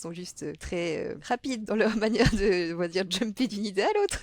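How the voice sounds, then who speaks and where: Delivered at a very fast pace, the speech has a dry, close sound with no echo. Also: woman. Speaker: digital strategy consultant, freelancer. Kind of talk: interview testimony.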